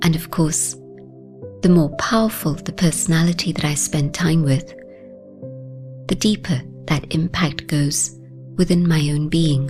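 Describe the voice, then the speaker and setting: Over music in the background, a woman with a very deep, low pitch and ordinary pitch variation speaks fairly slowly, pausing long and often. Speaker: spiritual teacher, meditation guide. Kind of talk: guided meditation commentary.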